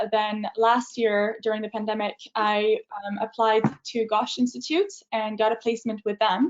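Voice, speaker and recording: Monotone, flat intonation in a French accent. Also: woman. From France. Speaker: university student. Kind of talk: student talk in a webinar. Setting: video webinar. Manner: hesitant, many fillers.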